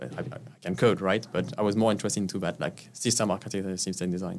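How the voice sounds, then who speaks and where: Very fast speech in a French accent with ordinary pitch variation. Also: man. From France. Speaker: tech executive. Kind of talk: interview.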